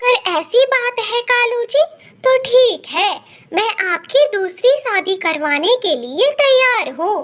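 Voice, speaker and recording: A woman puts on a cartoonish character voice at an extremely high pitch. She talks at a fairly slow pace. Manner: sharp, demanding.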